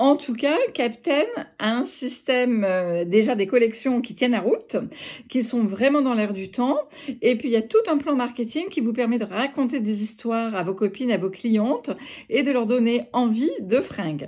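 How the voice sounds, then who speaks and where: A woman speaks at a fairly slow pace in a high pitch with ordinary pitch variation over a quiet background. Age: 50s. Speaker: home-sales fashion consultant; clothing sales network seller. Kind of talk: recruitment pitch video. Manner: hesitant, many filler sounds. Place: home room. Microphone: phone near.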